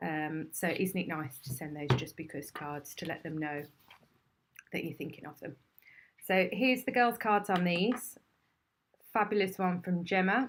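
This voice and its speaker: Speaking with an English accent, a woman with a fairly low voice moves at a moderate pace, her intonation lively, her loudness swinging widely and her pauses long and frequent. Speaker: craft demonstrator and shop owner. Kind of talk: live stream product demonstration. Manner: animated.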